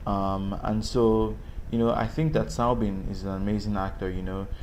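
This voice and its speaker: A fairly low-pitched man with a Nigerian accent at a moderate pace, flat and monotone, amid audible room echo and noticeable background noise. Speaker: actor. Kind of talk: interview. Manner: hesitant, many fillers.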